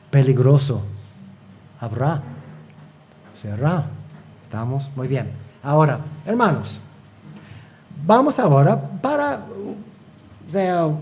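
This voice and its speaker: A fairly high-pitched man's voice, very slow and lively in intonation, with long, frequent pauses and audible room echo. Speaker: preacher, Bible teacher. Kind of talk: sermon. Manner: halting, many fillers and repetitions.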